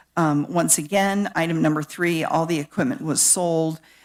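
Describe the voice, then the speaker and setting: With a Midwestern accent, a woman speaks at a moderate pace in a very deep, low pitch on a very clean recording with a silent background. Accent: Midwestern twang. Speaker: county planning staff presenter. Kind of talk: public meeting presentation. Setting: public board meeting. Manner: halting, many fillers.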